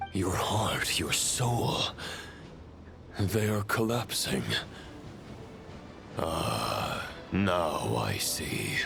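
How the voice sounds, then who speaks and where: Over loud background noise, a man does a put-on character voice at a fairly low pitch, very slowly and with long, frequent pauses. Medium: video game. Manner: solemn, measured, formal.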